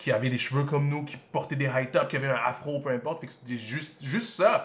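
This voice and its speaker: A man speaks at a fairly quick clip in a fairly high, somewhat breathy voice with fairly even intonation. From Montreal, Quebec (Côte-des-Neiges); born in Congo. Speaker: podcast host. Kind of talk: casual chat.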